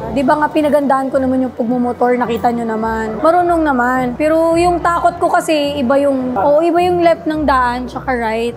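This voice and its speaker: Over noticeable background noise, a woman with a high pitch talks at a fairly quick pace with hardly any pauses. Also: ordinary pitch variation. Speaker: vlogger. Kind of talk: casual vlog.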